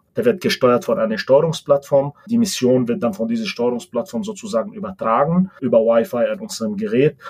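A man's somewhat breathy voice, fairly high in pitch, with very wide pitch swings and hardly any pauses. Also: fairly quick pace. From Lebanon. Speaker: tech executive. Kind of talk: interview.

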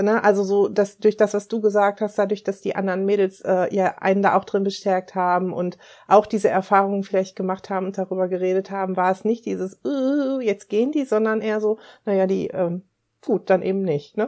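A dark, mellow tone is heard over a quiet background. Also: woman, medium pitch for a woman, fairly quick pace. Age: 50s. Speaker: life coach and mentor. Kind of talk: casual interview chat. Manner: lively.

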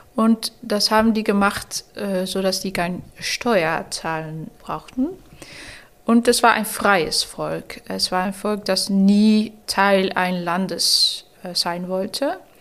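At a very slow pace, a woman with a medium pitch and ordinary pitch variation speaks with a Dutch accent. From Netherlands, Rotterdam. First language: Dutch (speaking German). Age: 30s. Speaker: novelist. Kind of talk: interview. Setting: embassy room.

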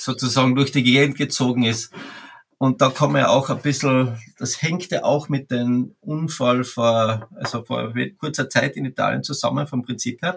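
Somewhat breathy, a man speaks at a medium pitch and a moderate pace with fairly even intonation. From Austria, Carinthia. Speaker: wildlife ecologist, bear expert. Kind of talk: interview.

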